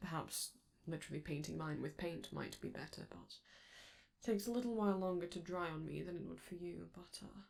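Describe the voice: A woman uses a put-on character voice at a low pitch, with vocal fry and a slightly mellow tone. She moves at a fairly quick pace with big pitch swings.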